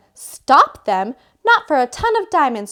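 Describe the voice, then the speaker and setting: A woman's bellowing, growling put-on character voice, high-pitched, with very wide pitch swings and a fairly slow pace. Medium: read story. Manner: growling, bellowing.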